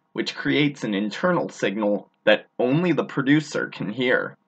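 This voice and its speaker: The intonation here is lively and the pace moderate. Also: man. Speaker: blogger. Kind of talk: reading aloud. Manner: articulate.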